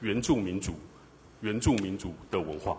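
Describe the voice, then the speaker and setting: A man is speaking. His voice is somewhat breathy. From Taiwan. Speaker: city councillor. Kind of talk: council interpellation.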